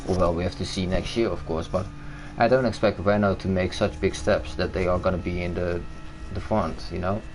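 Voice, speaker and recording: With a Dutch accent, a man talks at a fairly quick pace in a very deep, low voice with ordinary pitch variation. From Netherlands. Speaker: gaming streamer. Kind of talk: casual chat.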